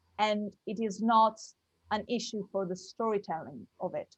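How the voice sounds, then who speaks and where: A woman with an Italian accent and fairly even intonation. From Italy. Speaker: actress and producer. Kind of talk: interview.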